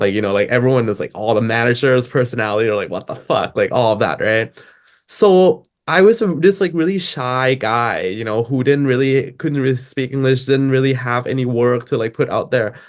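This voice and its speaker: Over a quiet background, a man with a Thai accent talks at a fairly quick pace, his medium-pitched voice showing ordinary pitch variation. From Thailand. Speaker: DJ and music producer. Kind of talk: interview. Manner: casual, filler-heavy.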